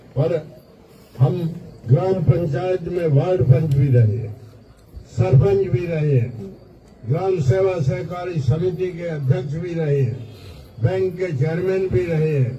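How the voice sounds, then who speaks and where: A man's fairly high voice with ordinary pitch variation and long, frequent pauses, amid noticeable background noise and audible room echo. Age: 80s+. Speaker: politician. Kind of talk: political rally speech. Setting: gathering at his residence with supporters.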